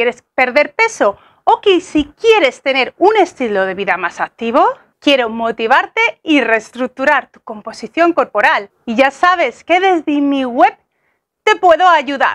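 A woman with a high pitch, very wide pitch swings, big swings in loudness, and a fairly slow pace, against a quiet background. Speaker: fitness coach. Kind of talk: casual vlog chat. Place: garden. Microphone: lapel.

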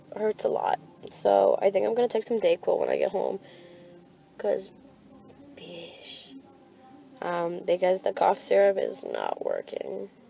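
A woman speaks at a fairly slow pace in a weary tone with long, frequent pauses, the sound dry with no echo and faint music in the background. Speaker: vlogger. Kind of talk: casual vlog chat. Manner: sick, sore-throated, weary voice. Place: car. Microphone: phone near.

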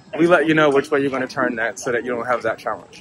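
A man talks with an American accent. The sound is dry with no echo, though background noise is noticeable. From United States. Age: 40s. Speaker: tech company cofounder. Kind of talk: product demo narration. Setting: outdoors. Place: open country.

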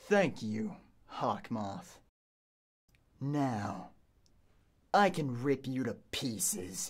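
On a very clean recording with a silent background, a put-on character voice of low-to-middle pitch moves at a very slow pace with long, frequent pauses and very wide pitch swings. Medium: dub. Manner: enraged, shouting.

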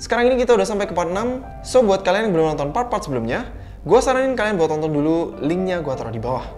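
Faint music plays in the background. Over it, a man talks at a very fast pace. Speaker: horror video host. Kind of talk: casual commentary. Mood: storytelling, suspenseful. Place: home room.

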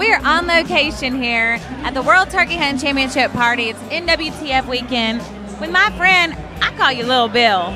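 Over clear music in the background, a woman uses a raised, projected voice at a moderate pace, the sound dry with no echo. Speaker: event interviewer host. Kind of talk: interview questions. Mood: bubbly, laughing. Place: bar. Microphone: handheld.

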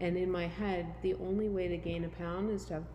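A woman speaks at a fairly quick pace with audible room echo. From Canada. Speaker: gym member sharing weight loss story. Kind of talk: casual interview.

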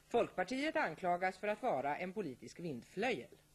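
Her voice shows vocal fry and very wide pitch swings as this woman speaks. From Sweden. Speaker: TV news anchor. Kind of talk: 1980s TV news intro, headline reading. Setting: studio. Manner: formal; brisk, crisp headline delivery. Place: studio.

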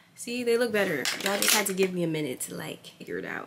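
A woman with an American accent talks at a very fast pace. Noticeable background noise runs under her speech. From New York City, Staten Island; New York City. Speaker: lifestyle vlogger. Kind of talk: vlog narration. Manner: casual, chatty. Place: home room. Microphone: phone near.

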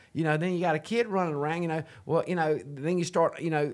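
A man with a Southern US accent speaks against a quiet background. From US South. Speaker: podcast host. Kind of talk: casual faith-based interview chat. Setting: studio. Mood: earnest, reflective. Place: home room. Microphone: studio mic.

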